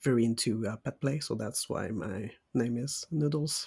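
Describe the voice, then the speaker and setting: A somewhat breathy man speaks at a fairly slow pace with fairly even intonation. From Quebec, Saguenay-Lac-Saint-Jean. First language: French. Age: 20s. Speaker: podcast co-host. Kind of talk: casual chat.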